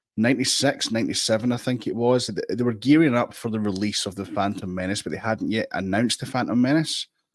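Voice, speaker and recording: A man with a Scottish accent talks in an animated tone at a very fast pace, barely pausing, his medium pitch moving with ordinary variation over a very clean recording with a silent background. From Scotland. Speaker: guest on a fan podcast. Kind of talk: casual chat.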